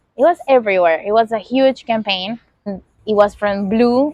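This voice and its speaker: This is a woman with a Venezuelan accent. Her pitch is fairly high. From Venezuela, Caracas. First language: Spanish. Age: 30s. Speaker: podcast host. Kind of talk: casual monologue. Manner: halting, many fillers.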